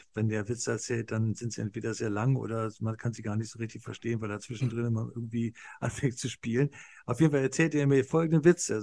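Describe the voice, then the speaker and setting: A medium-pitched man at a fairly quick pace, with ordinary pitch variation. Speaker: podcast co-host. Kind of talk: casual chat. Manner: hesitant, many filler sounds.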